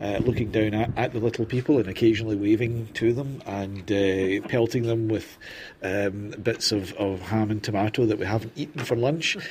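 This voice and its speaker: A somewhat breathy man speaks at a moderate pace. His pitch is fairly low and his intonation fairly even. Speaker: crime writer and reporter. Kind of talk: casual chat while drinking. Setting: roadside bar in Spain.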